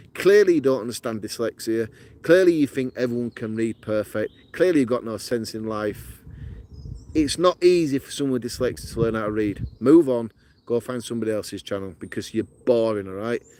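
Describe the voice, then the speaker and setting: In a strong northern English accent, a man with a medium-pitched voice talks at a fairly quick pace in an animated tone with lively intonation, the sound dry and close with no echo. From northern England, Yorkshire. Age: 40s. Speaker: outdoor camping vlogger. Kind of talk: live stream chat, reading comments. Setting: outdoors in woodland.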